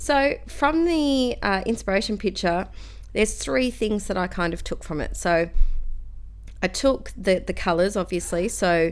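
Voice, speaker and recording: Speaking at a fairly slow pace, a woman talks in a strong Australian accent. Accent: broad Australian. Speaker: scrapbooking crafter, school teacher. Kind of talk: crafting tutorial. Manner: casual, chatty with many fillers.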